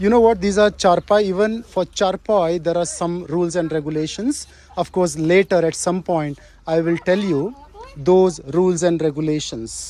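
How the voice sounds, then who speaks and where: A man with a Kannada accent talks at a high pitch and a moderate pace with ordinary pitch variation over noticeable background noise. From South India, Kannada-speaking. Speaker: travel vlogger. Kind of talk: walking travel vlog commentary. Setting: outdoors in a village. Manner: casual, halting with fillers.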